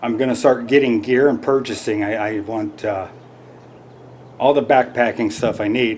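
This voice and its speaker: A man talks in a plain, everyday voice at medium pitch. His pitch variation is ordinary and his pace is moderate. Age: 50s. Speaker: hiking vlogger. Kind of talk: casual product review vlog. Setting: home living room.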